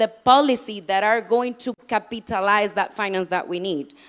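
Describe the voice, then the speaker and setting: A woman with a non-native accent talks at a moderate pace and a fairly high pitch, her pitch varying in an ordinary way. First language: not English. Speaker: panel speaker on climate policy. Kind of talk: panel talk. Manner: halting, with many fillers and restarts.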